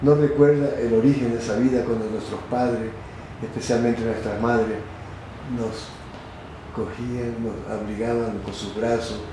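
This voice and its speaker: A man's medium-pitched, monotone voice with flat intonation, fairly slow and full of long, frequent pauses, amid noticeable background noise and audible room echo. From Ecuador, Manabí coast (Chone). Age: 80s+. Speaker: retired general. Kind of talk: interview.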